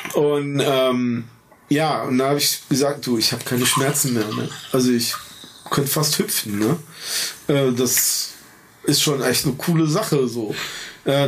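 A man with a fairly high voice speaks at a moderate pace with ordinary pitch variation and very even loudness, leaving long, frequent pauses amid noticeable background noise and audible room echo. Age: 50s. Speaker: amputee, prosthesis wearer. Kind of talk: casual interview chat.

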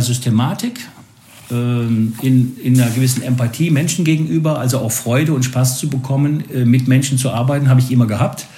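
Amid noticeable background noise and audible room echo, a man at medium pitch talks at a moderate pace with ordinary pitch variation. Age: 50s. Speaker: sales professional. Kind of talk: casual interview.

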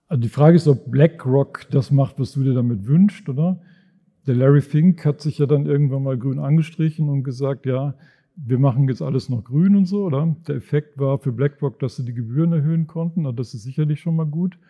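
Somewhat breathy and fairly high in pitch, a man talks at a fairly quick pace with ordinary pitch variation. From Germany, Sauerland. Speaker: finance professor. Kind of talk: live podcast conversation on stage. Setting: stage with audience in a reverberant monastery room. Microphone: heavy room echo.

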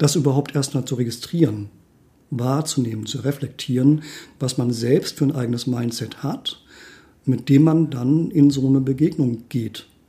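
Pitched at a medium level, a man's voice has a dark, mellow tone and is somewhat breathy. He speaks at a moderate pace with fairly even intonation. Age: 40s. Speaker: life coach. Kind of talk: casual chat.

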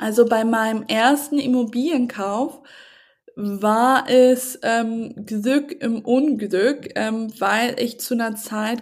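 A woman speaks in a fairly high pitch with a fairly even intonation. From northern Germany, Hamburg. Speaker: tech founder and author. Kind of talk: podcast interview.

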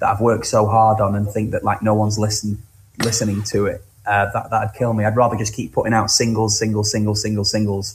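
A man with a Lancashire accent speaks very fast. His fairly low voice has monotone, flat intonation. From northwest England, Blackpool (Cleveleys). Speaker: singer-songwriter. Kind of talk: interview.

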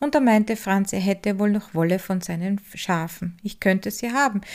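A woman speaks in a normal speaking voice at medium pitch, with ordinary pitch variation and a moderate pace. The recording is very clean, with a silent background. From Styria, Austria (Upper Styria). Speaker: podcast host, wool spinner and craftswoman. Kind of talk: scripted narration.

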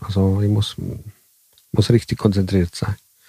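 The man has an Italian accent and a dark, mellow tone. The sound is dry and close, with no echo. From southern Italy, raised in Switzerland until age 11. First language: Italian (speaking German). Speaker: bus driver. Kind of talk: interview.

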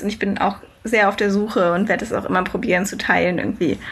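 A woman talking very fast with fairly even intonation, noticeable background noise behind her. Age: 20s. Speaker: long-distance cycle traveller. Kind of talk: casual interview.

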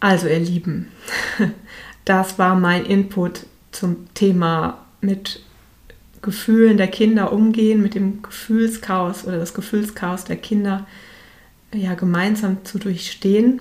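Somewhat breathy and at a medium pitch, a woman speaks at a very slow pace with long, frequent pauses. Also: fairly even intonation. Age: 40s. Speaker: parenting coach podcaster. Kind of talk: solo podcast monologue.

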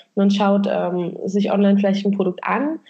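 A woman uses an ordinary speaking voice at medium pitch and a moderate pace. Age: 30s. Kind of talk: interview.

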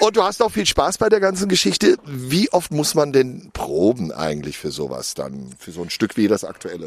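Someone speaks at a moderate pace with lively intonation. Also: man, medium pitch for a man.

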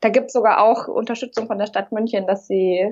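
A woman with fairly even intonation. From Munich, Bavaria. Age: 30s. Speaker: aspiring café founder. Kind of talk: casual interview. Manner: hesitant, many fillers.

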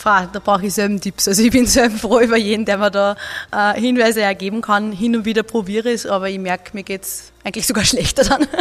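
Talking very fast, a woman with an Upper Austrian accent keeps a medium pitch. Her intonation stays fairly even. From Upper Austria, Mühlviertel. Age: 20s. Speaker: politician. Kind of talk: interview. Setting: office.

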